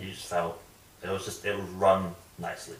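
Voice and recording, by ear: With strong room echo around him, a man speaks at a fairly quick pace in a low pitch with a fairly bright tone.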